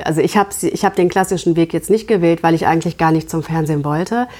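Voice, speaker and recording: A normal speaking voice from a woman, fairly low in pitch with fairly even intonation. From Germany, Gütersloh (Westphalia). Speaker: TV journalist. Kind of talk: interview conversation.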